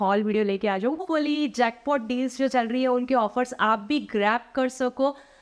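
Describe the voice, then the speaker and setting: Against a quiet background, a woman speaks fairly slowly in a high pitch with ordinary pitch variation. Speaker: fashion haul vlogger. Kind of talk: casual vlog chat. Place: home room.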